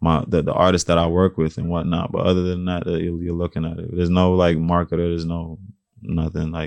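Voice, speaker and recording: A man talks at a very fast pace. His very deep, low voice holds a monotone, flat intonation. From New York, the Bronx. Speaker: rapper and musician. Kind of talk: casual interview. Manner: soft-spoken.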